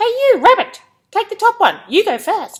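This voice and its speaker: The voice is a squeaky, put-on character voice. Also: woman. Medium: read story.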